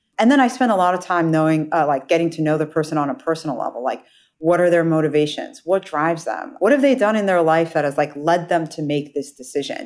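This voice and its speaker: This woman has a normal speaking voice, fairly low in pitch, with an American accent. She talks at a fairly quick pace in a very clean recording with a silent background. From United States. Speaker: venture capital investor. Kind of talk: interview.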